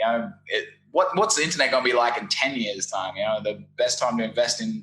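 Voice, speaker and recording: His pace is moderate. The man speaks in an Australian accent. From Australia, Brisbane. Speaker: SEO agency founder. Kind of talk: interview. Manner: animated.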